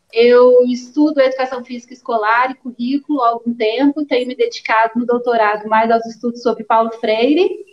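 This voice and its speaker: A woman with a Minas Gerais accent talks at a fairly quick pace with hardly any pauses, her high pitch held in fairly even intonation. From Minas Gerais, Brazil. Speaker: teacher and researcher. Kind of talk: live stream presentation.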